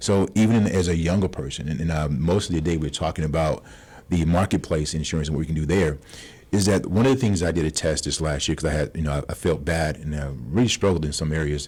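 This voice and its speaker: A man speaks at a very fast pace in a very deep, low pitch. His pitch varies in an ordinary way. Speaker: insurance broker. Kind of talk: radio interview.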